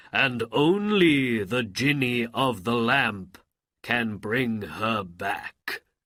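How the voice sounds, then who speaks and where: At a very slow pace, a man puts on a character voice pitched in the medium range. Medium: read story. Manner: formal, obedient.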